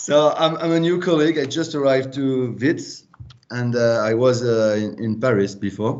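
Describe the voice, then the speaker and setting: With a French accent, a man talks at a moderate pace, using a medium pitch and ordinary pitch variation. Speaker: academic. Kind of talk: self-introduction. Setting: video call.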